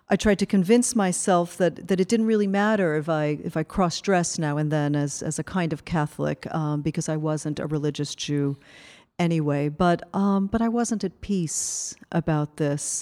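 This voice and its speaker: In an American accent, a woman with a very deep, low pitch speaks at a moderate pace with hardly any pauses and ordinary pitch variation, on a very clean recording with a silent background. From Cuban American. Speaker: anthropology professor. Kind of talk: lecture. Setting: stage with audience. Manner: halting.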